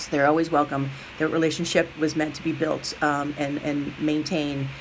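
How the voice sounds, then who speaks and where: A woman talks at a fairly quick pace with a very deep, low pitch. Noticeable background noise sits behind her. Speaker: middle school teacher. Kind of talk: recorded message to parents. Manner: fast.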